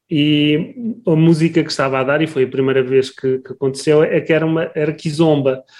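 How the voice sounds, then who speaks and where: A man with a normal speaking voice talks at a fairly high pitch with ordinary pitch variation. He moves at a moderate pace with hardly any pauses. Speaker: podcast host, academic. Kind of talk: interview conversation.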